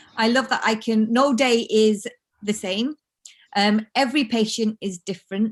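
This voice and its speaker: Intonation stays fairly even. The sound is dry and close, with no echo. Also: woman, fairly high pitch for a woman. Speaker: podiatrist. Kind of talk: online presentation. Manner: fast; halting.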